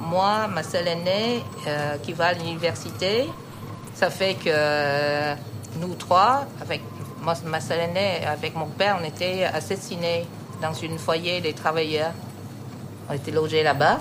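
Over noticeable background noise and audible room echo, a woman speaks at a very slow pace with long, frequent pauses, her fairly low pitch showing ordinary variation. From Vietnam. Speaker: immigrant interviewee. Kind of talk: testimony.

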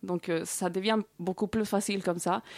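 A plain, everyday voice speaks at a moderate pace with fairly even intonation. The recording is very clean, with a silent background and a dry, close sound with no echo. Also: woman. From Colombia. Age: 30s. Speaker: guest. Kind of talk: casual interview chat. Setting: studio.

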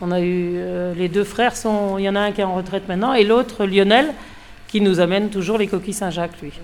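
A woman's plain, everyday voice at a fairly quick pace, medium in pitch with fairly even intonation. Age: 50s. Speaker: fishmonger. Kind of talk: casual interview.

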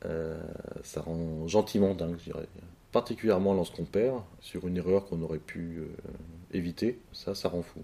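A man speaks with a very deep, low pitch and a dark, mellow tone. His pace is moderate, with ordinary pitch variation and long, frequent pauses. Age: 30s. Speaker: chess player and club director. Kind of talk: interview. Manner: hesitant, many fillers and repetitions.

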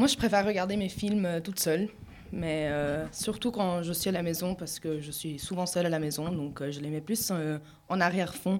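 A woman with a fairly low pitch speaks at a moderate pace. It is a plain, everyday voice with ordinary pitch variation. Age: 20s. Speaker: student radio panelist. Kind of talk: casual chat.

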